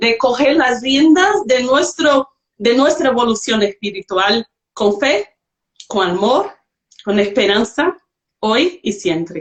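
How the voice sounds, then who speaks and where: A woman with a non-native accent speaks at a very slow pace with long, frequent pauses, a fairly high pitch, very wide pitch swings, and very even loudness. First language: not Spanish (speaking Spanish). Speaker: livestream host. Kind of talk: online panel discussion.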